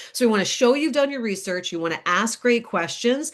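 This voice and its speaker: Against a quiet background, a woman talks in an energetic tone with lively intonation. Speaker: career coach. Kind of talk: webinar presentation. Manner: fast.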